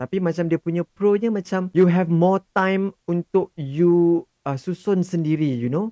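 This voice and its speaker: Captured with a dry, close sound and no echo, a man with a dark, mellow tone speaks at a moderate pace. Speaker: podcast host. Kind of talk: casual chat.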